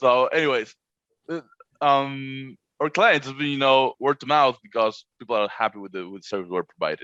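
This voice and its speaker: In a Spanish accent, a man speaks with a bright, sharp tone, big swings in loudness and ordinary pitch variation, the sound dry and close with no echo. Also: medium pitch for a man, moderate pace. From Argentina. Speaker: short-term rental co-host. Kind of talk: casual podcast conversation. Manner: halting, repeats words.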